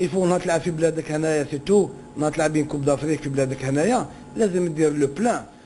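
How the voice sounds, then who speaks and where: With light background noise behind him, a man talks at a very fast pace in a fairly high pitch with ordinary pitch variation. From Algeria. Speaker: former footballer. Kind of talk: interview. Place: office. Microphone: handheld.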